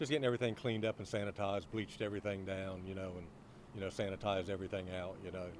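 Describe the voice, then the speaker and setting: At a very fast pace, a man with an American accent talks in a very deep, low pitch with fairly even intonation. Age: 60s. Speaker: fish market owner. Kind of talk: street interview.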